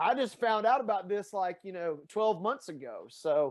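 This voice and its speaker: Talking at a fairly quick pace, a man has a strong Tennessee accent. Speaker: fitness coach and sports reporter. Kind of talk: podcast conversation. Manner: animated.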